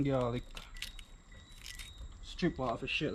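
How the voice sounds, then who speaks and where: A man with a Jamaican accent talks at a fairly slow pace. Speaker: vlogger. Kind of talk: casual cooking vlog.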